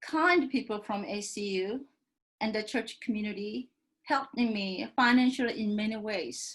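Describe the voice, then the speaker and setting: In a Korean accent, a woman speaks at a moderate pace with a fairly high, somewhat breathy voice. Her pitch varies in an ordinary way. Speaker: professor. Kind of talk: panel talk.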